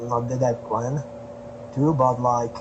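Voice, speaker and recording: At a fairly slow pace, a speaker with a Slovak accent talks over noticeable background noise, with audible echo from the room. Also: man. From Slovakia. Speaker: traveling street musician. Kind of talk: podcast interview. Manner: halting, many fillers.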